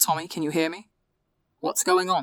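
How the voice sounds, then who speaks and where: A put-on character voice, female-sounding, at a middle pitch. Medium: read story. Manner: gentle, concerned.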